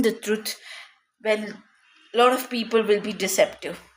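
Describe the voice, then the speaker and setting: A woman has an unremarkable speaking voice with fairly high pitch. She keeps a moderate pace and fairly even intonation. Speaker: tarot reader. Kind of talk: tarot reading.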